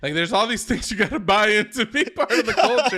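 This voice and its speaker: A man's raised, projected voice, bright and sharp in tone, racing at a very fast pace with lively intonation. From US, Dominican-American family. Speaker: podcast host. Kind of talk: casual chat.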